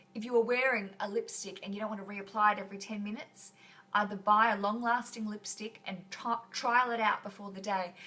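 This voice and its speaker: A woman's fairly high voice with an Australian accent, fairly quick and monotone with flat intonation. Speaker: podcast host. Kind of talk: live stream chat. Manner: casual, chatty.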